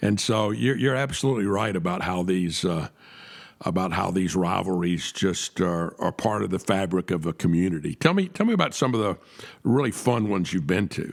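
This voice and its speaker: In a very clean recording with a silent background, a man with a Southern US accent talks fairly quickly in a very deep, low pitch with ordinary pitch variation. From US South, Atlanta, Georgia. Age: 60s. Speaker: podcast host. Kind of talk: interview. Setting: studio.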